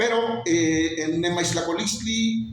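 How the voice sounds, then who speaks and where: A man speaks with a Mexican accent at a high pitch. Music plays in the background, and the room echo is audible. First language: Nahuatl (speaking Spanish). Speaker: Nahuatl cultural promoter and songwriter. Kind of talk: interview.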